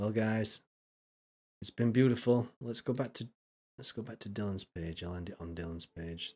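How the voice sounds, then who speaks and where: Speaking with a Yorkshire accent, a man uses a fairly low pitch, ordinary pitch variation and a moderate pace. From Yorkshire, northern England. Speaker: streamer reacting to videos. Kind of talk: casual live-stream commentary. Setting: live stream. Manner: animated.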